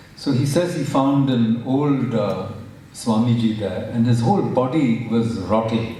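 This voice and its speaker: Spoken in a Marathi accent at a fairly slow pace, the voice has ordinary pitch variation. Noticeable background noise and audible room echo come through. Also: man. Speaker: professor. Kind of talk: public talk. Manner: halting, many fillers.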